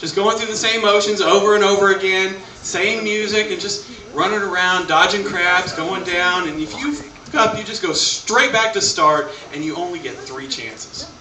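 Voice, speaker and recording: An animated man's raised, projected voice, high in pitch, at a moderate pace, with noticeable background noise and audible room echo. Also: ordinary pitch variation. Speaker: stand-up comedian. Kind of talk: stand-up. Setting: stage with audience.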